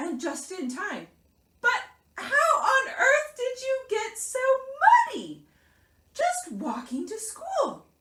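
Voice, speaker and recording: A woman puts on a squeaky character voice, pitched extremely high, swinging very widely in pitch and moving at a very slow pace with long, frequent pauses. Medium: read story. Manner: stern.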